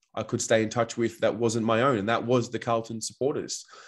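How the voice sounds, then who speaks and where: Over a quiet background, a man with an Australian accent speaks with monotone, flat intonation. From Australia, Melbourne. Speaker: football fan and podcaster. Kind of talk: podcast interview. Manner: hesitant, many fillers.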